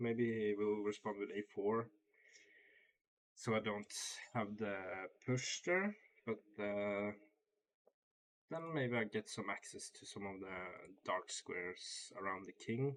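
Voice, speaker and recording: With a non-native accent, a man talks at a very slow pace in a fairly low voice, with ordinary pitch variation and long, frequent pauses. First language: not English. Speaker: chess streamer. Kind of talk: live game commentary. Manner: halting, thinking aloud.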